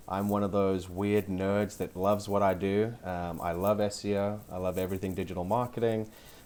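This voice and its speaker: In a South African accent, a man speaks at a fairly quick pace with a fairly low pitch, monotone, flat intonation and hardly any pauses. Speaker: SEO specialist. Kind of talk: podcast interview.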